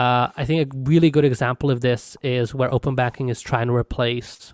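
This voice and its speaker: A man's medium-pitched voice in a flat monotone. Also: dry, close sound with no echo, very clean recording, silent background. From United Kingdom. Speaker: tech entrepreneur. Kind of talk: casual interview. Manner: casual, many fillers.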